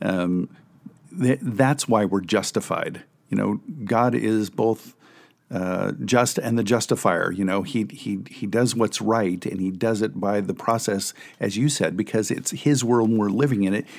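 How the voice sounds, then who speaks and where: In a very clean recording with a silent background, a man talks in an ordinary speaking voice. He moves at a fairly slow pace with ordinary pitch variation. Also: fairly low pitch for a man. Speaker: pastor and co-host. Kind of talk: casual theological discussion.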